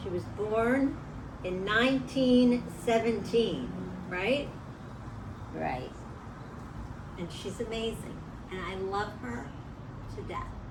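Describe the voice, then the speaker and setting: A woman's fairly high voice over noticeable background noise, very slow and lively in intonation, with long, frequent pauses. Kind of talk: interviewer questions for school kids.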